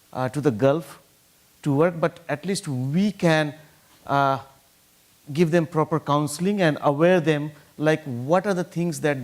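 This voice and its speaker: Here a man speaks with a non-native accent at a fairly slow pace. His pitch is fairly high, and long pauses come frequently. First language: not English. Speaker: trafficking survivor, NGO founder. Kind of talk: panel talk. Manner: halting, many fillers.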